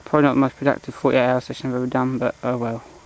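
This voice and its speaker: This man speaks quietly at a very fast pace, with monotone, flat intonation. Noticeable background noise runs under his voice. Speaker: angler vlogger. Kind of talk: casual vlog commentary. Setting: outdoors at lakeside. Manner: talking quietly.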